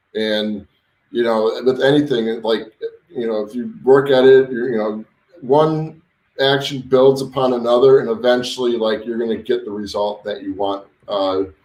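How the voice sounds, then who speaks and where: This man's voice sits at a medium pitch with fairly even intonation. He keeps a moderate pace. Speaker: web design and SEO coach. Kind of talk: live stream tutorial. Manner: halting, many fillers and repeats; casual.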